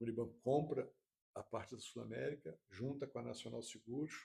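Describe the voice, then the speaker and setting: A man is speaking. His pace is moderate. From Rio de Janeiro, Brazil. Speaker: insurance executive. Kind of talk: podcast interview.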